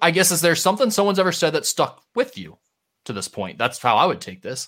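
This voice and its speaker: A man speaks high in pitch with lively intonation and a bright, sharp, excited tone. The recording is very clean, with a silent background. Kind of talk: casual sports talk podcast. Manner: fast talker, gets excited.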